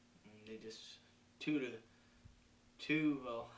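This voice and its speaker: Audible room echo surrounds a man as he speaks. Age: 20s. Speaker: podcast host. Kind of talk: personal reflection monologue. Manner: halting.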